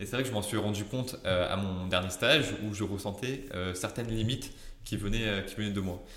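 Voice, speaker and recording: A man's fairly low voice at a fairly quick pace, fairly even in intonation, with audible room echo. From southern France (Marseille area). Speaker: junior software developer. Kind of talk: interview. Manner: halting.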